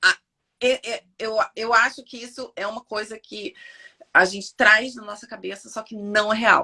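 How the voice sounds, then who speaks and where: Speaking at a fairly slow pace, a woman with a fairly high pitch and a bright, sharp tone shifts widely in loudness, recorded dry and close with no echo. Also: fairly even intonation. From Brazil. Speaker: physiotherapist. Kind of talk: casual interview on a live stream.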